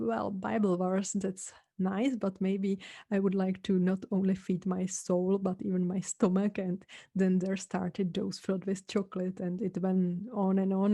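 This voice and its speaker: In a Czech accent, the voice has a dark, mellow tone and flat, monotone intonation. It moves at a fairly slow pace against a quiet background. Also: woman. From Czech Republic. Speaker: podcast host. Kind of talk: casual podcast talk.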